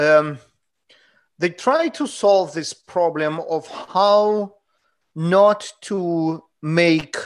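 A man speaks with ordinary variation in his pitch. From former Soviet Union. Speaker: podcast host, developer advocate. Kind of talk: casual chat. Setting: video call.

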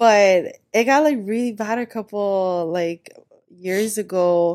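This woman has an ordinary speaking voice with fairly high pitch. The recording is very clean, with a silent background. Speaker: podcast co-host. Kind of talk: casual chat.

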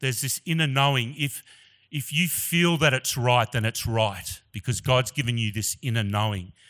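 A man with an Australian accent, bright and sharp in tone, with ordinary pitch variation, at a moderate pace, on a very clean recording with a silent background. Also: medium pitch for a man. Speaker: guest preacher. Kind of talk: sermon. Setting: church.

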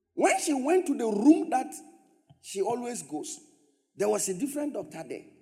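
Speaking at a moderate pace with long, frequent pauses, a man with a Ghanaian accent uses an extremely high pitch, a dark, mellow tone and very wide pitch swings. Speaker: pastor. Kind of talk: sermon. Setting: church.

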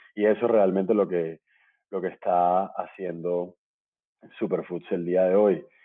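Very deep, low male voice, monotone and flat, at a fairly slow pace. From Colombia, Barranquilla (Caribbean coast). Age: 30s. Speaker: startup founder and CEO. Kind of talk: interview. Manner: halting, many fillers and repetitions.

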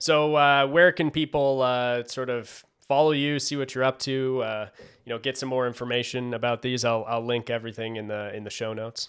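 On a very clean recording with a silent background, a man talks at a fairly quick pace in a normal speaking voice, medium in pitch with fairly even intonation. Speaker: podcast host. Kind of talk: casual interview chat.

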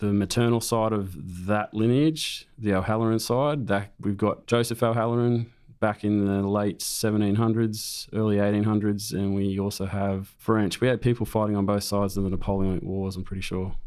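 Here a man with an Australian accent talks at a moderate pace with hardly any pauses. His pitch is fairly low, his intonation fairly even, and the recording very clean with a silent background. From New South Wales, Australia (Raymond Terrace). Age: 30s. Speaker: war veteran. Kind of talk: interview storytelling. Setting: studio.

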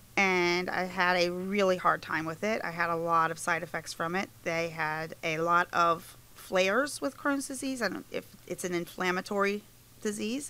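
A woman's bright, sharp voice at medium pitch, lively in intonation, at a moderate pace. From West Virginia. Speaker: preschool teacher. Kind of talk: interview. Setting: studio.

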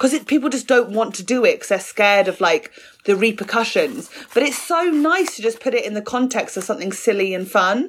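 A woman with a southern English accent speaks in a fairly high pitch at a fairly quick pace. Her intonation is lively, and the recording is very clean with a silent background. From southern England, Fleet in North East Hampshire. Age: 20s. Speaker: comedian. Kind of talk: casual chat.

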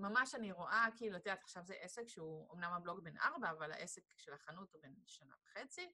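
A woman's medium-pitched voice with a bright, sharp tone, lively intonation, big swings in loudness, a fairly quick pace and hardly any pauses. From Sharon region, Israel. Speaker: podcast host. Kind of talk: podcast interview.

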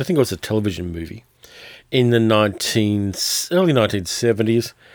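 On a very clean recording with a silent background, a man with an Australian accent talks at a fairly quick pace in a fairly low voice with ordinary pitch variation. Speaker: podcast host, film and TV reviewer. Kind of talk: solo review monologue.

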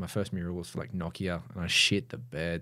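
Fairly quick speech from a man with an Australian accent. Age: 30s. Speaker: mural artist. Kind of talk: casual chat.

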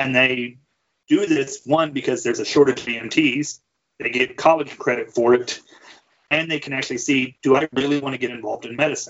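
A plain, everyday voice from a man, fairly high and fairly quick. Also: fairly even intonation. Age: 30s. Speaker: military veteran, EMT. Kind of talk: casual chat. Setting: call.

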